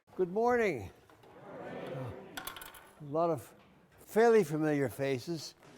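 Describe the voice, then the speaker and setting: A man's very slow speech with long, frequent pauses, very wide pitch swings, and noticeable background noise. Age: 80s+. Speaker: bandmaster and conductor. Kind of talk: interview answer.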